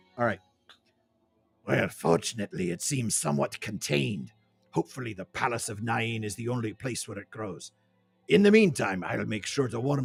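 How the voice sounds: Putting on a character voice, a man speaks in a medium pitch at a moderate pace with long, frequent pauses.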